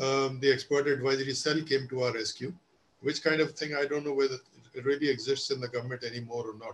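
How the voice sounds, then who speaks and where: A man at medium pitch, very fast, somewhat breathy, with a monotone, flat intonation. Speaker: retired civil servant. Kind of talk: panel discussion webinar.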